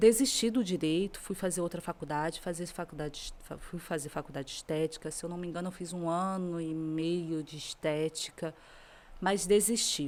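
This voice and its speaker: Fairly low-pitched female voice at a moderate pace, intonation fairly even, on a very clean recording against a silent background. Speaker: lawyer. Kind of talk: podcast interview.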